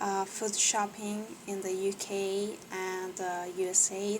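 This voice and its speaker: A woman's medium-pitched voice with a non-native accent, very slow and in a monotone, flat intonation, over noticeable background noise. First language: not English. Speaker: English learner. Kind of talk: reading aloud with commentary. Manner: halting, many fillers; unsure pronunciation.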